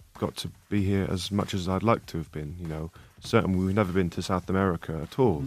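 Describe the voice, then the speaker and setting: Background music accompanies a voice that rushes along at a very fast pace. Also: man. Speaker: rock band musician. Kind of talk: interview answer. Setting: radio studio.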